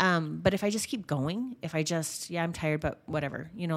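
A woman speaks at a fairly quick pace in a very deep, low pitch with ordinary pitch variation, on a very clean recording with a silent background. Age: middle-aged. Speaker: charity board member and business owner. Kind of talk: podcast interview.

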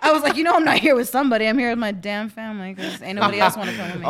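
A woman talks at a very fast pace with a fairly high pitch and lively intonation, her loudness swinging widely over noticeable background noise. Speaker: podcast co-host.

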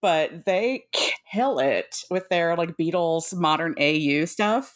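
An ordinary speaking voice comes from a woman with a fairly low pitch and lively intonation, in a very clean recording with a silent background. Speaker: podcast host. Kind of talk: casual chat.

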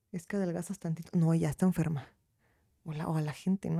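Recorded very cleanly with a silent background and a dry, close sound with no echo, a woman with a Mexican accent speaks in a dark, mellow tone. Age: 20s. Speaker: lawyer. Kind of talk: casual interview.

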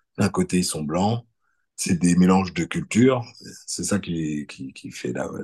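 A man talks in a very deep, low pitch at a fairly slow pace. His intonation is lively. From France. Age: 40s. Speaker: electrician. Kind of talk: casual interview. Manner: hesitant, many fillers.

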